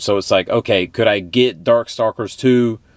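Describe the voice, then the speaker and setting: A man talks with a Texan accent. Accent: Texan, noticeable. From Texas. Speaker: retro gaming YouTuber. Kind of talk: casual vlog monologue. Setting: travelling in Oregon. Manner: casual, filler-heavy.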